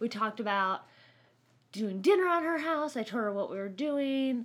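A woman with an ordinary speaking voice talks fairly quickly at a fairly high pitch. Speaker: nurse and podcast co-host. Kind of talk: casual chat. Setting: home studio.

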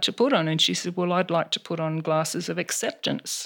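Fairly low-pitched and fairly quick, a woman speaks with an Australian accent and fairly even intonation. The recording is very clean, with a silent background. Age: 60s. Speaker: counsellor. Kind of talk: interview. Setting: in her home.

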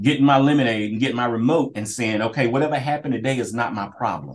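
A man's medium-pitched voice with an American accent and ordinary pitch variation, an ordinary speaking voice. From Kinston, eastern North Carolina. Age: 40s. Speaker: police officer, school resource officer. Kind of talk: interview conversation.

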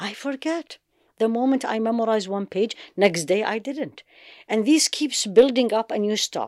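In a very clean recording with a silent background and a dry, close sound with no echo, the speaker talks at a moderate pace with an Arabic accent and ordinary pitch variation. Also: woman. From Iraq, Baghdad. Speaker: Islamic teacher and physician. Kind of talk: interview.

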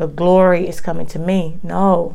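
A woman speaks at a fairly slow pace. Her voice is fairly low in pitch, with a dark, mellow tone. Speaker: preacher. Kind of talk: fervent prayer. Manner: rhythmic, repetitive, pleading; earnest, heartfelt, devout.

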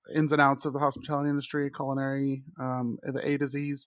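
Against a quiet background, a normal speaking voice moves at a moderate pace. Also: man. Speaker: chef panelist. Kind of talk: casual chat.

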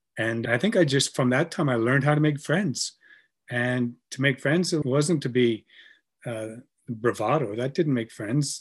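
A man with a Canadian accent, medium pitch, ordinary pitch variation, a somewhat breathy voice and a moderate pace, against a quiet background. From Canada. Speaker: brewery co-founder and writer. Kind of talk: casual chat.

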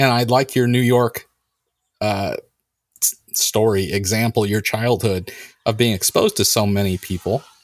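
A man speaks fairly slowly with an American accent. The recording is very clean, with a silent background. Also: dry, close sound with no echo. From California. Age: 40s. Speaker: podcast host. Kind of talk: casual chat.

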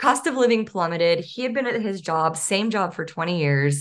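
In an American accent, a woman with a plain, everyday voice talks at a fairly quick pace using lively intonation. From Northeast Texas. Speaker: physical therapist turned career coach. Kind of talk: interview.

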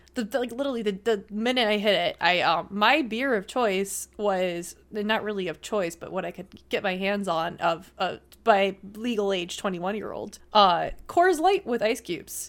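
With an unremarkable speaking voice, a woman in an American accent talks at a moderate pace with ordinary pitch variation and hardly any pauses, on a very clean recording with a silent background. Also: medium pitch for a woman. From Buffalo, New York. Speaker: beer sales rep and streamer. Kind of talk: casual chat.

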